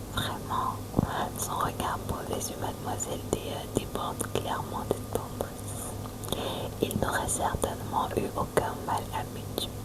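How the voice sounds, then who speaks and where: Over noticeable background noise, a woman whispers in a calm tone at a very slow pace. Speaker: ASMR reader. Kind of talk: narrated reading of a historical romance story. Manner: slow, calm.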